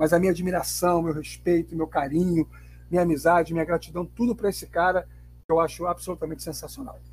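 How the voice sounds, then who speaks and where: With music playing in the background, a man talks at a very fast pace. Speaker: journalist and table football player. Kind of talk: interview. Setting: remote recording app.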